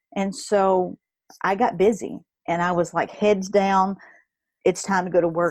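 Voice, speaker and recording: Against a quiet background, a woman with a Kentucky accent speaks at a moderate pace and a fairly low pitch with ordinary variation. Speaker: network marketer and blogger, former nurse. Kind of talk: interview. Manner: animated.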